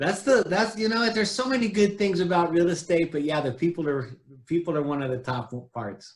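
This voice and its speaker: In an American accent, a man speaks at a high pitch. His pitch swings very widely. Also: fairly quick pace. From California. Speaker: realtor and show host. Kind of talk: interview.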